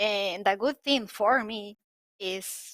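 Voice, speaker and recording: Very slow speech from a woman, fairly high-pitched with a bright, sharp tone, in a dry, close sound with no echo. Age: 40s. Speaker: drone racing pilot. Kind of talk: casual chat. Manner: halting.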